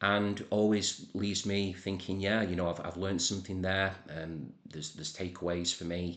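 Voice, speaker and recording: A man with a northern English accent at a fairly quick pace. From northern England. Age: 40s. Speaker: music channel creator. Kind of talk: casual monologue to camera. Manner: hesitant, many fillers and repeats.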